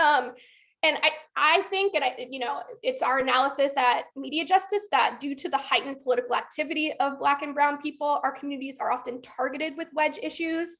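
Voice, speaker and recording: A woman's high-pitched voice at a fairly quick pace, with ordinary pitch variation. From US South, Georgia. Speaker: workshop facilitator. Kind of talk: online workshop presentation. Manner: fast.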